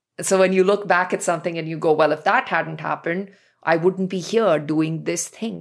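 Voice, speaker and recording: With vocal fry, a woman speaks at a moderate pace and fairly low pitch, her intonation fairly even. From India, New Delhi. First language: not English. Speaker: poet. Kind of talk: interview conversation. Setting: remote call.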